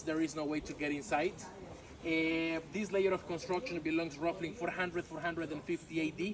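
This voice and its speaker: Through noticeable background noise, a high-pitched man with a Mexican accent talks at a fairly quick pace with fairly even intonation. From Yucatan, Mexico. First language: Yucatec Maya. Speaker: tour guide. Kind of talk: guided tour talk. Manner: halting with filler words.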